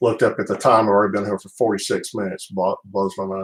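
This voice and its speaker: Here a man with a Southern US accent talks at a very fast pace in a fairly low pitch. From US South (Alabama, Birmingham area). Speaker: baseball card collector streamer. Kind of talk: casual chat. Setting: live stream from home office.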